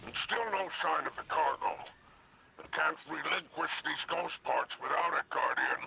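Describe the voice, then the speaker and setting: A man puts on a character voice and talks at a medium pace. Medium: video game. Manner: theatrical, flowery.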